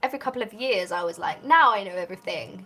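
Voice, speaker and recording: Music plays in the background behind speech with lively intonation. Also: woman. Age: 20s. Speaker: artist live streamer. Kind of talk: casual chat. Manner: animated.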